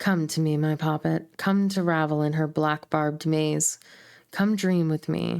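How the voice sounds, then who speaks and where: A cackling put-on character voice at middle pitch keeps a moderate pace on a very clean recording with a silent background. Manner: cackling, sinister, seductive.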